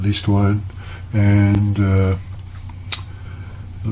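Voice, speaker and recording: A man's fairly low voice with audible room echo and noticeable background noise. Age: 70s. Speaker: retired painter and video blogger. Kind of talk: casual talk to camera. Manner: halting, many fillers.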